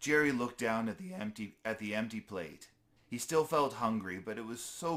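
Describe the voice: The speaker reads aloud plainly. The intonation is lively.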